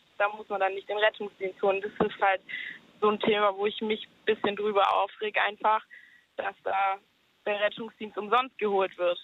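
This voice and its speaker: Her intonation is monotone and flat. This woman speaks at a moderate pace with a medium pitch. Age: 20s. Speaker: caller. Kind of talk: casual phone-in chat. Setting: phone call.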